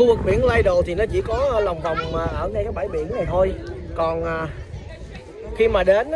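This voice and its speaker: Crowd noise fills the background as a man talks at a fairly slow pace. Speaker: family vlogger. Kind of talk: casual vlog chat. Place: beach. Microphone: phone near.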